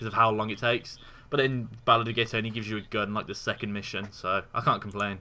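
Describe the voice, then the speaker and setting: In an English accent, a man speaks at a very fast pace, his medium-pitched voice bright and sharp in tone. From England. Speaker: university student, podcast co-host. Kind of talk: casual chat.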